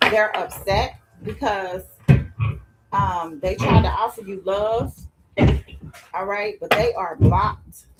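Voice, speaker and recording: A very slow pace with long, frequent pauses, over music in the background. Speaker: tarot reader. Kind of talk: tarot reading. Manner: loud.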